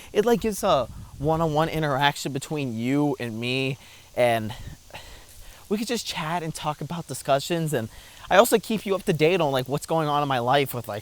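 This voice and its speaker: A man talks at a fairly quick pace in a fairly high pitch with lively intonation. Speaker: YouTuber and streamer. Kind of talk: casual vlog monologue while walking. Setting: outdoors on a walking trail. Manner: talkative, filler-heavy (lots of 'like').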